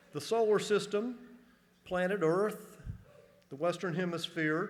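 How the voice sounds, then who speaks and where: The speaker is a man at a moderate pace. Room echo can be heard. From US South, northern Georgia. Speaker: college administrator. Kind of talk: convocation speech. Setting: stage with audience. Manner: humorous, conversational.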